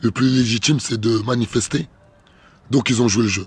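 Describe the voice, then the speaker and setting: Speaking at a moderate pace, a man uses a medium-pitched, somewhat breathy voice with fairly even intonation. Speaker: political activist vlogger. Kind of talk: direct-to-camera political video message.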